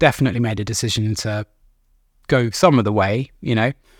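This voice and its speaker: A man with a normal speaking voice and medium pitch talks at a fairly quick pace with fairly even intonation, the sound dry and close with no echo. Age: 30s. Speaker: recovering addict. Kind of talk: interview.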